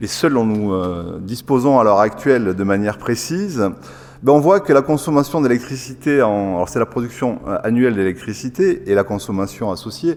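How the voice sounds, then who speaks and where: This man has a southern French accent and a medium pitch. He talks at a moderate pace with lively intonation. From southern France. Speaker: engineer. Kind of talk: lecture. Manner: halting, many filler sounds.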